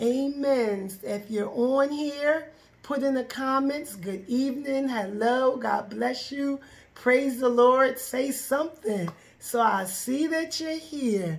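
A woman talks at a very slow pace, her high voice showing ordinary pitch variation. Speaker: minister leading Bible study. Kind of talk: live stream greeting, preaching style. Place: home room. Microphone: phone near.

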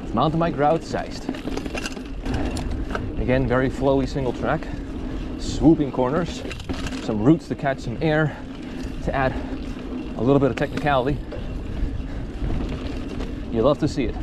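A man talks at a moderate pace with long, frequent pauses and fairly even intonation, the sound dry with no echo and noticeable background noise behind him. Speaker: mountain biker vlogger. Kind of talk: casual vlog commentary. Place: bicycle. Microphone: camera far.

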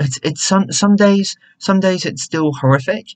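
A man's somewhat breathy voice with lively intonation, at a moderate pace over a quiet background. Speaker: hair care vlogger. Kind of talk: casual vlog chat. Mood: reflective, talking about grief. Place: home room. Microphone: webcam.

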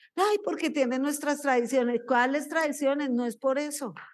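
A woman speaks with a high pitch and ordinary pitch variation. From Colombia. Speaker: pastor. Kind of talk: sermon. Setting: church. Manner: animated. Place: church. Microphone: handheld.

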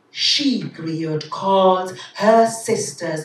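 A woman's fairly low voice with lively intonation, very slow, with audible room echo. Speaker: poet. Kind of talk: poetry reading. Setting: live event. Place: stage.

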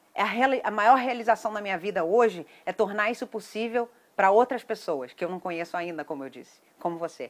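A woman with a Brazilian accent speaks at a fairly quick pace in an animated tone. Her intonation is lively, with big swings in loudness. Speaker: event promoter. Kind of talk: sales pitch. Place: garden. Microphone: phone near.

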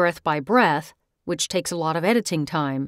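Recorded very cleanly against a silent background, an ordinary speaking voice talks at a fairly slow pace with a dry, close sound and no echo. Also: woman. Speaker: voice actor. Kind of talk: software tutorial talk. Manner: casual, friendly.

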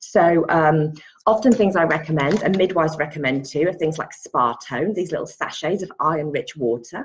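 A woman in an English accent at a moderate pace. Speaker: pregnancy yoga and antenatal teacher. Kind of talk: casual vlog tutorial. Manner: hesitant, many fillers.

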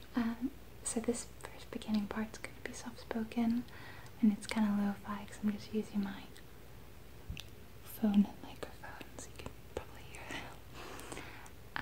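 A woman whispers at a fairly slow pace, leaving long, frequent pauses. Her loudness swings widely from moment to moment. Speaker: video creator. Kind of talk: soft-spoken casual vlog chat. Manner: soft-spoken ASMR voice, close to mic. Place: home room. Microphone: phone near.

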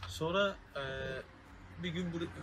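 At a fairly slow pace, a man speaks with a high pitch and a fairly bright tone. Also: fairly even intonation.

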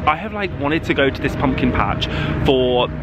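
The sound is dry with no echo, though noticeable background noise comes through. A man talks at a fairly quick pace. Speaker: vlogger. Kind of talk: casual vlog chat. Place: street. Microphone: phone near.

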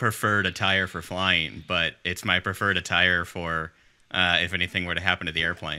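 This man has a low voice with a bright, sharp tone that is also clear and smooth, and his intonation stays fairly even.

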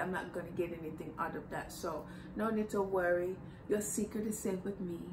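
Noticeable background noise sits behind a woman who talks at a fairly quick pace with a medium pitch. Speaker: YouTuber. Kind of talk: casual vlog, reading messages aloud. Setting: at home, AC running. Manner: animated. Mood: sassy, amused. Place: home room. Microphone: camera far.

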